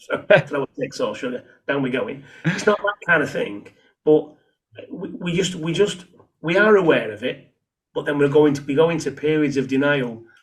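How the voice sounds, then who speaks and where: The pace here is moderate. A man delivers it with a somewhat breathy voice. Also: ordinary pitch variation. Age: 60s. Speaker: author, charity worker and navy veteran. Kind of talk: casual chat. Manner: halting, many repetitions.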